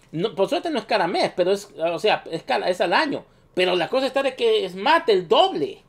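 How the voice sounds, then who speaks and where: A man's high voice with very wide pitch swings at a moderate pace. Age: 30s. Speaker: gaming youtuber. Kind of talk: video commentary. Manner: halting, many fillers.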